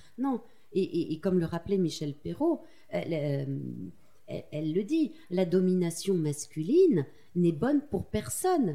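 A woman speaks at medium pitch and a fairly slow pace, somewhat breathy, with a dark, mellow tone. Her pitch swings very widely, and she leaves long, frequent pauses. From France, Corrèze (Tulle). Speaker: magazine co-founder and journalist. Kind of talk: interview conversation. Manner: halting, with repetitions and fillers.

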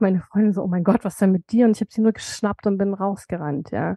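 A woman with a dark, mellow tone and a medium pitch talks at a fairly quick pace with fairly even intonation, over a quiet background. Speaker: author and cancer survivor. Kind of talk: interview, personal testimony.

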